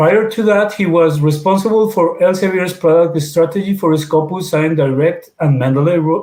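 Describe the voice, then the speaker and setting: At a moderate pace, a man with a Spanish accent speaks at a high pitch with ordinary pitch variation. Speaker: webinar moderator. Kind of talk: formal introduction. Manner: halting.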